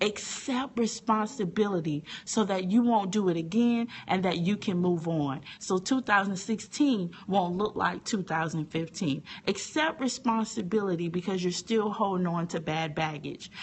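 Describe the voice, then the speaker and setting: A woman's somewhat breathy, animated voice at a moderate pace. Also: medium pitch for a woman, lively intonation. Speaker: teacher and online inspirational speaker. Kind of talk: motivational talk on a live stream. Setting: live video broadcast from a phone. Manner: animated, preachy.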